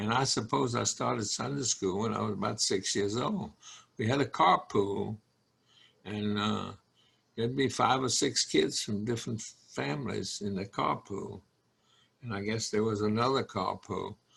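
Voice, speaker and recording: A man's fairly low voice with vocal fry and a Southern US accent, lively intonation, a moderate pace, and long, frequent pauses. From North Carolina (Burlington). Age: 90s. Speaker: congregation elder. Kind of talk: interview. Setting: video call.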